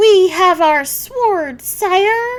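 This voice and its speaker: A woman uses a put-on character voice. It is squeaky and extremely high-pitched. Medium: read story. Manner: formal, courtly.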